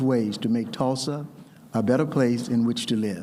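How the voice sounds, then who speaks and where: With a Southern US accent, a man talks at a moderate pace and a medium pitch, showing ordinary pitch variation amid audible room echo. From US South. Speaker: ceremony host. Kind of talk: ceremonial speech.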